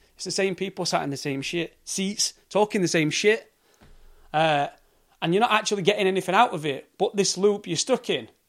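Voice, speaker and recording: A man with a Yorkshire accent speaks at a fairly quick pace in a high voice. His pitch rises and falls in an ordinary way. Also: very clean recording, silent background. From South Yorkshire, England. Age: 30s. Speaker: podcaster on sobriety and addiction. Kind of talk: solo rant monologue. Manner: casual, animated.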